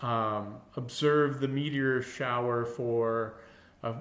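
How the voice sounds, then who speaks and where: Amid noticeable background noise and audible room echo, a man speaks at a medium pitch with a slight Minnesota accent. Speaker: longevity coach. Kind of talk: casual talk to camera. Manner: halting, many fillers and restarts.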